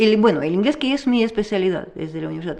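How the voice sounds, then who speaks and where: Very fast speech from a woman at medium pitch, dark and mellow in tone, with ordinary pitch variation. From Russia. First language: Russian (speaking Spanish). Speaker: teacher. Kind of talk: interview. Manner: halting.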